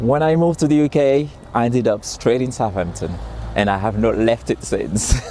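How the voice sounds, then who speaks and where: A man's medium-pitched voice at a fairly quick pace, lively intonation and very even loudness, over noticeable background noise. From Haiti (Port-au-Prince). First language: Haitian Creole. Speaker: interviewee, migrant. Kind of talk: interview testimony. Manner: halting, repeats words.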